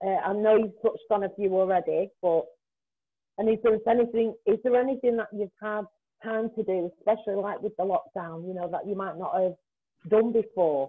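The background is quiet. A woman talks at a fairly quick pace. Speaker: volunteer interviewer. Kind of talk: casual interview. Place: home room. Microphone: video call.

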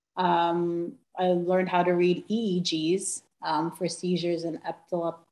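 With an American accent, a woman speaks in a dark, mellow tone and monotone, flat intonation, with audible room echo. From New York. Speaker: physician assistant. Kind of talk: presentation. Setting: video call. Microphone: video call.

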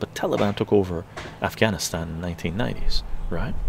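Noticeable background noise sits under a man talking at a moderate pace with ordinary pitch variation. The sound is dry, with no echo. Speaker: livestream commentator. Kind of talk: political commentary livestream. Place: home room. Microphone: webcam.

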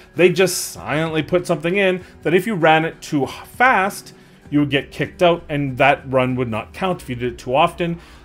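Faint music plays in the background as a man with a high pitch speaks with ordinary pitch variation. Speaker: gaming content creator. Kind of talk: commentary.

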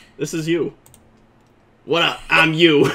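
The voice is a raspy put-on character voice at a middle pitch.

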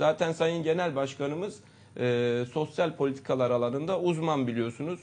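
At a moderate pace, a man with a fairly high pitch talks with ordinary pitch variation and very even loudness. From Istanbul, Turkey. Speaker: politician, party candidate. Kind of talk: political interview. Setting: studio. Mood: earnest, critical political argument. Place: studio.

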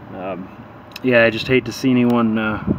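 Flat, monotone speech comes through with a dry sound, no echo, and noticeable background noise. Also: man. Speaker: tractor owner. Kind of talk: casual vlog chat. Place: street. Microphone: phone near.

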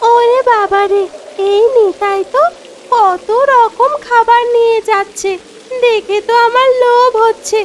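A cartoonish character voice, female-sounding and pitched extremely high. Clear background noise runs behind it. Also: fairly slow pace.

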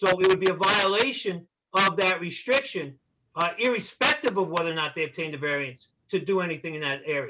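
A man with a Long Island accent speaks in a raised, projected voice at a high pitch. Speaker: attorney for neighbors. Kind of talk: public hearing argument.

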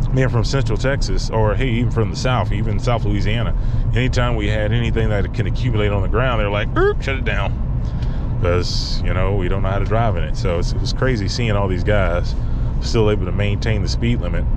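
Loud background noise accompanies a man talking at a fairly quick pace, the sound dry with no echo. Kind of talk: casual vlog chat. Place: car. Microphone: phone near.

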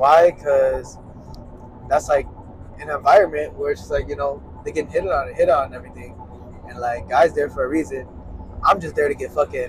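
A man talks at a moderate pace, leaving long, frequent pauses, with big swings in loudness. The sound is dry with no echo, over light background noise. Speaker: podcast host on road trip. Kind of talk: casual podcast chat. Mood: relaxed, joking. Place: car. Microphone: lapel.

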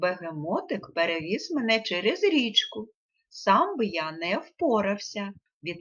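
A natural voice reading aloud over a quiet background

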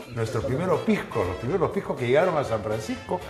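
Over clear background music, a man talks in a room with audible echo. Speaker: TV host. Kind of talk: conversational explanation to guest.

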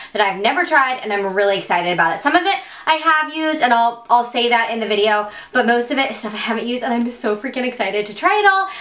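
Audible room echo surrounds a woman with a high pitch. She speaks at a very fast pace. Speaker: beauty vlogger. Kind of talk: casual vlog chat. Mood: excited, warm. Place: home room.

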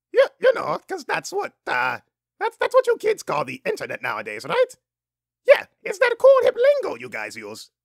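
A cartoonish character voice sits at an extremely high pitch with an enthusiastic tone. It moves at a moderate pace, broken by long, frequent pauses. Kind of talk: cartoon voice impression. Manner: enthusiastic, rambling, goofy.

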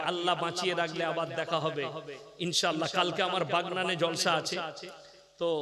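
Noticeable background noise runs under the speech. There is also audible room echo. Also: man. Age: 30s. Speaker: Islamic preacher. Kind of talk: sermon. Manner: loud.

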